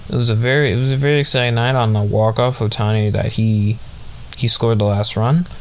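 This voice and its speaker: Noticeable background noise behind a man's medium-pitched voice. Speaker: sports podcast host. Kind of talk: casual chat. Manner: halting, many fillers.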